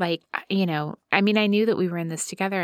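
On a very clean recording with a silent background, a woman speaks at a very fast pace. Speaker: podcast host. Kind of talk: casual chat.

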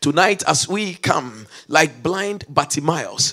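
A man's pitch varies in an ordinary way as noticeable noise runs underneath. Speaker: bishop and preacher. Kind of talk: fervent prayer, leading a congregation in intercession; sermon. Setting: church service. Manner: impassioned, pleading, rising urgently and rhythmically; sermonic, declarative with call-and-response shouts of amen.

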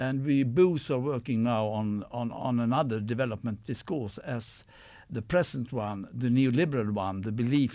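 A man's dark, mellow tone with a Swedish accent. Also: very clean recording, silent background. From Sweden. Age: 60s. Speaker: professor. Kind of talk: live radio discussion. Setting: studio.

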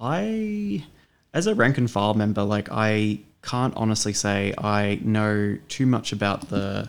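In a very clean recording with a silent background, a man with an Australian accent speaks at a fairly low pitch. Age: 30s. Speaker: union member and bookstore worker. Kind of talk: interview. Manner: halting, many fillers.

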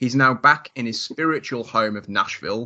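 Here a man with a British accent speaks at a medium pitch. His pace is moderate and his pitch variation ordinary. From northern England. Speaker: podcast host. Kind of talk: interview. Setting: at home, remote call.

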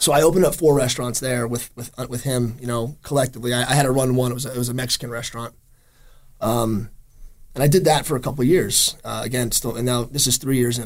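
A man with an American accent talks at a very fast pace. His pitch is medium and his intonation fairly even. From New Jersey (Jersey Shore). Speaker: chef and restaurant owner. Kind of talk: interview. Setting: studio.

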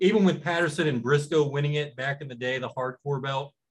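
A man speaks at a fairly quick pace. His voice is fairly high and somewhat breathy. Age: 40s. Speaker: wrestling podcast co-host. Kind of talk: casual chat.

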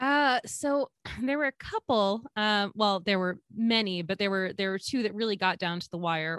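A woman with an American accent talks in an ordinary speaking voice at medium pitch, with lively intonation and a moderate pace. The recording is very clean, with a silent background and a dry, close sound with no echo. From Georgia, US. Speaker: podcast host, guest. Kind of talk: casual chat.

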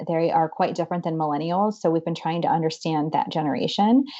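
In a Midwestern American accent, a woman speaks at a fairly quick pace with a fairly low pitch and ordinary pitch variation. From northeast Ohio, Boardman near Youngstown. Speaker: nonprofit president. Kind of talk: interview.

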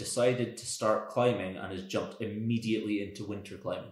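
This man has a medium pitch. His voice is somewhat breathy. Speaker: podcast host. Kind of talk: casual interview chat.

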